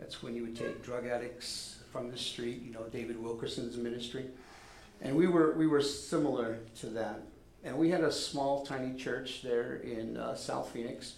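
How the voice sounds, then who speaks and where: A man speaks at a moderate pace with a medium pitch and fairly even intonation. Noticeable background noise runs underneath. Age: 60s. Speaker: pastor. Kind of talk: sermon. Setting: church.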